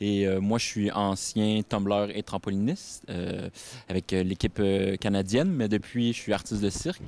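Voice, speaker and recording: Fairly low in pitch, a man speaks with a dark, mellow tone, fairly even intonation, and a moderate pace. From Quebec. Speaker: circus acrobat. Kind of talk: interview. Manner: halting.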